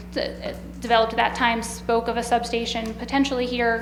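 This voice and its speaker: Talking at a very fast pace, a woman is heard with audible room echo over noticeable background noise. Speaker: utility project representative. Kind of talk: presentation at public hearing.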